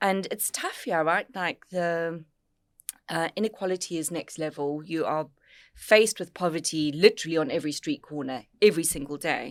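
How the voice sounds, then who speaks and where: A woman's fairly low voice with an American accent at a moderate pace, on a very clean recording with a silent background. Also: ordinary pitch variation. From South Africa, Cape Town. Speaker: business network co-founder and podcast host. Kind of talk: casual podcast conversation. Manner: animated.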